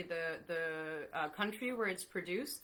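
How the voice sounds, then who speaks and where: A woman with a bright, sharp tone talks at a fairly slow pace. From France. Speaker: veterinarian and company founder. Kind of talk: live online interview.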